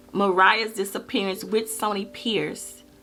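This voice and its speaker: Music sits in the background while a woman speaks. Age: 20s. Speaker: true crime YouTuber. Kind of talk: true crime storytelling to camera.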